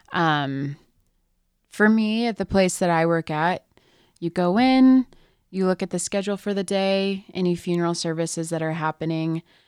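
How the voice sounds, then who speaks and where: A woman with an American accent speaks in a plain, everyday voice at a fairly low pitch, moderate pace and ordinary pitch variation. The recording is very clean and dry, close with no echo and a silent background. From California. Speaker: mortuary worker. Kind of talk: casual chat. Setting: studio.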